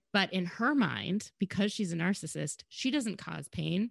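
Quiet background behind a woman with an American accent. Her pitch swings very widely, and her voice has vocal fry. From Minnesota. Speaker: podcast host. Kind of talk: casual chat.

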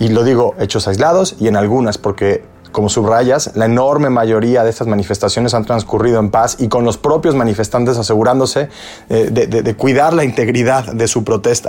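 A man speaks in a plain, everyday voice at a medium pitch and a fairly quick pace. His loudness stays very even and his pitch variation is ordinary. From Mexico. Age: 40s. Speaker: podcast host. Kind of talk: interview.

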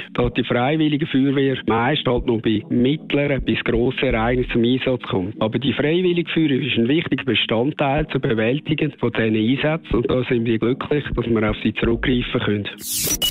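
A man with a Swiss German accent keeps his loudness very even despite noticeable background noise. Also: medium pitch for a man, ordinary pitch variation, moderate pace, hardly any pauses. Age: 50s. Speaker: professional firefighter. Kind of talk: interview answers.

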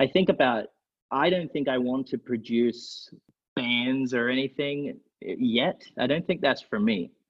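An unremarkable speaking voice from a man, medium in pitch, with ordinary pitch variation and a fairly slow pace. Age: 20s. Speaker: songwriter and music producer. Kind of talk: casual chat.

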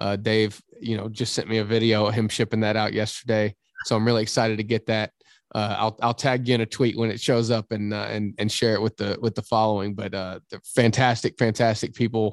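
The delivery moves at a fairly quick clip in a flat monotone, recorded dry and close with no echo. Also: man, fairly low pitch for a man. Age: 30s. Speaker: former college basketball player, radio analyst. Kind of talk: casual interview.

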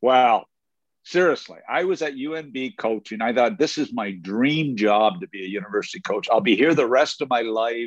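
Against a quiet background, a man speaks at a moderate pace in an unremarkable speaking voice, medium in pitch with lively intonation. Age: 60s. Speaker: former hockey coach and broadcaster. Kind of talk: casual interview.

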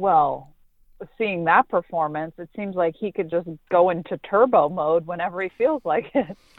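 In an American accent, a woman with a plain, everyday voice speaks at a moderate pace and fairly low pitch, with ordinary pitch variation and big swings in loudness. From Pittsburgh, Pennsylvania. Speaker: sports reporter and co-host. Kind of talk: casual sports talk. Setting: remote from Pittsburgh, quiet spot.

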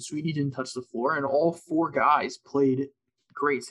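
A man with an ordinary speaking voice, fairly high in pitch, at a moderate pace. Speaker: co-host. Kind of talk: casual sports podcast recap.

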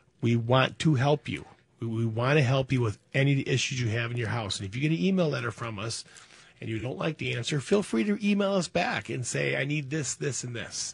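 This man talks at a fairly quick pace in a medium pitch, his delivery somewhat breathy and his intonation lively. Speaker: radio host. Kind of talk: casual radio call-in show.

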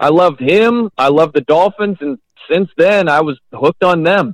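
An ordinary speaking voice from a man with an American accent, at a moderate pace with ordinary pitch variation. The sound is dry and close with no echo. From Indiana (South Bend), US Midwest. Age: 40s. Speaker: sports radio host. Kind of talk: casual interview.

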